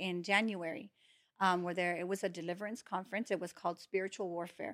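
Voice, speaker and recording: Speaking at a fairly quick pace with fairly even intonation, a woman has an ordinary speaking voice, captured on a very clean recording with a silent background. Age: 40s. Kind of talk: testimony.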